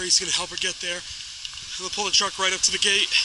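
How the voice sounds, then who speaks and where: The man's voice sits at a high pitch. Noticeable background noise runs beneath it. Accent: American. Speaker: hiking vlogger. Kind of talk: vlog narration. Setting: outdoors; in a car. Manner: loud.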